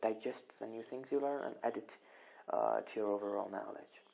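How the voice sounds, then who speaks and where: The speaker has a Kurdish accent. The pace is moderate. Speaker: English grammar teacher. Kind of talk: online lesson. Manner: hesitant, many repetitions.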